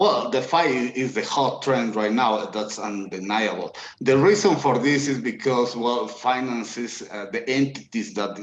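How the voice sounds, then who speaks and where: A man with a non-native accent, medium pitch, ordinary pitch variation and a fairly slow pace. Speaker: blockchain engineer. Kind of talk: video Q&A interview. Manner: halting, many fillers.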